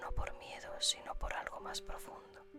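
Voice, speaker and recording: Someone whispers in a calm tone at a very slow pace while music plays in the background. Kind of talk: whispered ASMR story reading for sleep. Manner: whispered, soft, calm.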